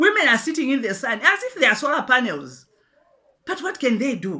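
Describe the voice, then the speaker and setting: A woman speaks in a raised, projected voice at a high pitch, with a bright, sharp tone. Her pitch swings very widely, and her pace is fairly quick. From Zambia. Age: 60s. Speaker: pastor and businesswoman. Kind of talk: address to the president. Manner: impassioned, emphatic; halting with repetitions.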